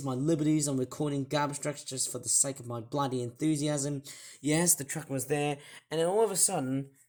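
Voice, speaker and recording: Someone with an Australian accent speaks at a fairly quick pace. The recording is very clean, with a silent background. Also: man, fairly high pitch for a man. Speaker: toy reviewer. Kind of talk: casual talk to camera, story of an incident.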